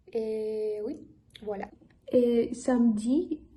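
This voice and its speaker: Speaking very slowly with a non-native accent, a woman uses a fairly high pitch, a dark, mellow and somewhat breathy tone and fairly even intonation. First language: not French (speaking French). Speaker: language learner vlogger. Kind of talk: casual vlog talk. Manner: halting, many hesitations.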